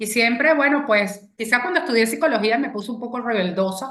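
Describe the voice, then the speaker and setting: This woman has a Venezuelan accent and a fairly high pitch, with ordinary pitch variation. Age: 60s. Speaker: feminist speaker and consultant. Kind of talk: talk to an online audience.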